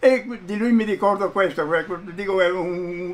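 A man at a fairly slow pace, high-pitched, with ordinary pitch variation. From Fiume (Rijeka), Croatia; Croatia. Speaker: witness interviewee; witness. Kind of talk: oral history interview. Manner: halting, repeats words. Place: home room.

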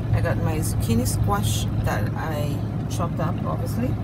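Loud background noise fills the recording. Through it, a woman is speaking. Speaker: truck driver vlogger. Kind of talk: casual vlog chat. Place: car. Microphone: phone near.

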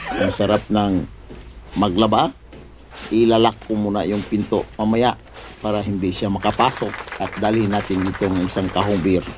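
Background noise is noticeable here. A man speaks at a fairly low pitch. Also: moderate pace. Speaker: vlogger. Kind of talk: comedic vlog. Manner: animated.

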